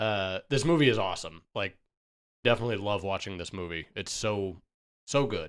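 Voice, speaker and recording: A man talks at a moderate pace in a fairly low pitch with ordinary pitch variation, a plain, everyday voice. The recording is very clean, with a silent background. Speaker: podcast host. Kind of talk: casual chat.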